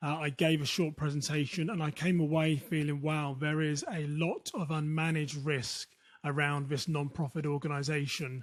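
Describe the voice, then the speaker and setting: A man with a British accent, somewhat breathy and fairly high-pitched, at a moderate pace with fairly even intonation, in a very clean recording with a silent background. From United Kingdom. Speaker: security consultant. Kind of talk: interview.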